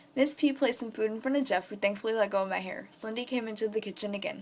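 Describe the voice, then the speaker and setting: A woman's fairly high voice at a very fast pace, with ordinary pitch variation. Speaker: fan fiction reader. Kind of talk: reading aloud; casual chat. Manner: halting.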